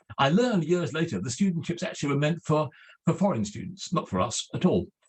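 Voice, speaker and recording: This man talks with an English accent at a fairly quick pace. His voice sits fairly high and carries vocal fry. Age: 70s. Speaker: literary scholar. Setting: video call.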